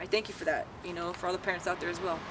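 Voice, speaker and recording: An American accent comes from a woman speaking over noticeable background noise. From Southern California (Whittier). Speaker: barber. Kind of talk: personal testimony. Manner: loud; halting, many fillers.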